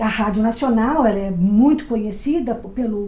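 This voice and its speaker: Fairly high-pitched woman's voice with a dark, mellow tone, ordinary pitch variation and a fairly slow pace, plus audible room echo. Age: 60s. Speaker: actress and comedy lecturer. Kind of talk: lecture.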